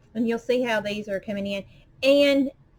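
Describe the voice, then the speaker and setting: This woman has a strong Southern US accent. Her pitch sits fairly high. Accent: strong Southern drawl. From US South, Arkansas. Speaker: crafter. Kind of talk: tutorial. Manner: casual, chatty.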